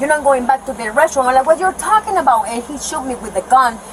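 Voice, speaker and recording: Amid noticeable background noise, a woman with a Spanish accent speaks at a high pitch. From Nicaragua. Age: 20s. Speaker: detained woman at police scene. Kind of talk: police body cam confrontation. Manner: agitated, emotional.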